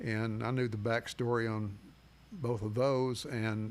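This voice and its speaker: The speaker talks with a Tennessee accent. The intonation stays fairly even. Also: man. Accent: US Southern (Tennessee). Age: 80s+. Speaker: sports radio host. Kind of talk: interview.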